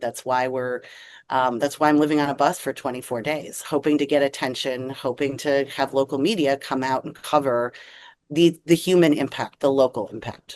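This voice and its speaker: Against a quiet background, the speaker uses fairly even intonation with an American accent. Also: woman, very deep, low pitch for a woman, moderate pace. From US Midwest (Wisconsin). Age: 40s. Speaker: advocacy group leader. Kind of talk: interview.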